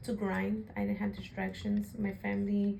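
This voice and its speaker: Speaking with an American accent, a woman is heard with audible room echo and noticeable background noise. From Chicago area, US Midwest. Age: 20s. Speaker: interviewee. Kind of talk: interview.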